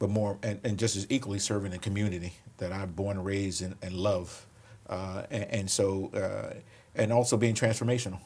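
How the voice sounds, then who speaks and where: This man speaks with a Philadelphia accent. His intonation is fairly even. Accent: Philadelphia American. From Philadelphia, US. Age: 60s. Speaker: police commissioner. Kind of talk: interview conversation.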